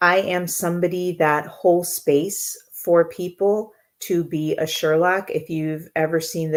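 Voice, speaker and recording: Speaking fairly slowly with a slight Jamaican accent, a woman keeps her intonation fairly even. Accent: slight Jamaican accent from family. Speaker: intuitive coach. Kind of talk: live Q&A stream. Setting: live online stream. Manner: fills pauses, many filler words.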